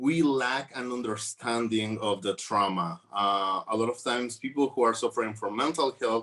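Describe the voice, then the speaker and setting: A man with a Mexican accent speaks at a medium pitch in a bright, sharp tone. His pitch varies in an ordinary way, and he hardly pauses. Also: moderate pace. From Mexico. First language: Spanish. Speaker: trafficking survivor advocate. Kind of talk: conference panel talk. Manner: halting, many fillers.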